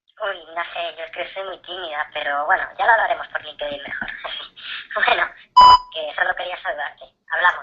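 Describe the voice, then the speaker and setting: A put-on character voice sounds robotic at a middle pitch and moves at a very fast pace. Long pauses break it up often. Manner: shy.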